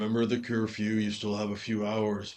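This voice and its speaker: Putting on a character voice, a man talks at a moderate pace in a fairly low pitch with a monotone, flat intonation. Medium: actual play. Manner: casual, wry.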